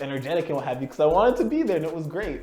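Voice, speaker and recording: A man's fairly high voice in a Toronto accent, with lively intonation, audible room echo and music in the background. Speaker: actor and musician. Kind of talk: casual interview chat. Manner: halting, many um and uh.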